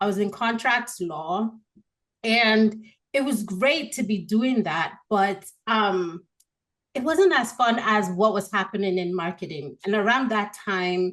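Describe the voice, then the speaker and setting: This woman has an American accent and a medium pitch. She talks at a fairly slow pace with ordinary pitch variation. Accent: Nigerian with American-leaning tones. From Nigeria. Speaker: marketing expert. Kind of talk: podcast interview.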